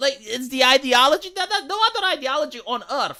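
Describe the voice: A squeaky woman's voice, bright and sharp in tone, with lively intonation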